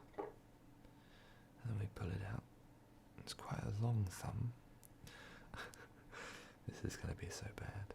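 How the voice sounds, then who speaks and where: Whispering in a relaxed tone, a man leaves long, frequent pauses. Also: fairly slow pace. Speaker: ASMR creator. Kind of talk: ASMR crafting video. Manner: soft-spoken, relaxed.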